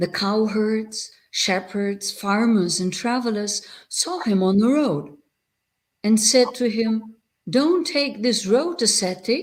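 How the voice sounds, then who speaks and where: Somewhat breathy and at a fairly high pitch, a woman speaks at a very slow pace with lively intonation. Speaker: Buddhist nun and abbot. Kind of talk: reading aloud.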